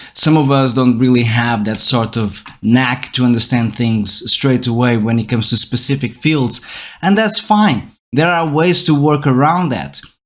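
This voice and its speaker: With a Portuguese accent, the speaker keeps a moderate pace and ordinary pitch variation. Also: man, medium pitch for a man. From Portugal. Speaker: podcast host, educator. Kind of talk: educational monologue podcast. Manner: conversational with fillers and self-corrections.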